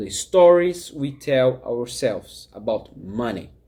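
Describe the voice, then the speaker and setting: Speaking very slowly with a Brazilian accent, a man keeps a medium pitch with ordinary pitch variation. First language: Portuguese. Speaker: life coach. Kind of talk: talking-head vlog.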